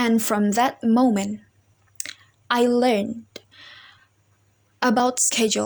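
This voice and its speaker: A woman speaks at a very slow pace in a high pitch with a non-native accent, her intonation fairly even. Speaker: university student. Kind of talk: personal story for class assignment. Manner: halting, with self-corrections.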